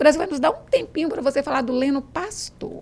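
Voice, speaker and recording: This woman talks at a fairly quick pace with lively intonation. Her voice is high-pitched. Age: 60s. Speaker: radio host and teacher. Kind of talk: radio interview. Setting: radio studio.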